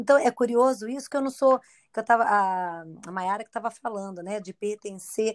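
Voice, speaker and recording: Here a woman with an unremarkable speaking voice talks at a fairly high pitch and a moderate pace, with ordinary pitch variation and big swings in loudness. The sound is dry and close with no echo, on a very clean recording with a silent background. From Brazil, Campinas (São Paulo state). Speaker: guest. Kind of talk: casual chat.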